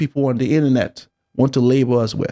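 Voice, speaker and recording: A man with a Nigerian accent speaks at a fairly quick pace in a dark, mellow tone. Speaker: YouTube commentator. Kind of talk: monologue commentary. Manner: halting.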